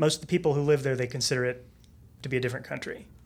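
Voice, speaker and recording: A man's fairly high-pitched voice with an American accent. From Texas. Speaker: former English teacher, data team staff. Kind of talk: casual chat. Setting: studio.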